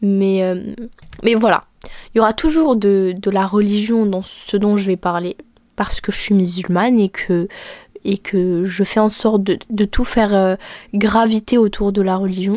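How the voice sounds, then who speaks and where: Soft-spoken and calm in tone, a woman talks at a medium pitch with a dark, mellow tone. Her pace is fairly slow, her intonation fairly even, and her pauses long and frequent. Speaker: podcast host and content creator. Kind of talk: casual monologue. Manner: calm, soft-ish tone.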